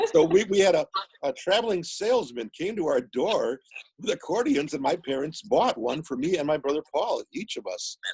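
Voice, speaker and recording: A man with an American accent talks at a moderate pace. His voice is high for a man and swings very widely in pitch. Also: dry, close sound with no echo. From US Midwest, Milwaukee. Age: 60s. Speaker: musician and author. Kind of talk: casual interview chat.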